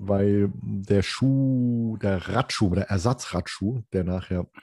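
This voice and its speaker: A man talks in a fairly low pitch with a dark, mellow tone and fairly even intonation. The sound is dry and close, with no echo. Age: 50s. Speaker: hobby photographer, podcast co-host, triathlete. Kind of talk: casual chat.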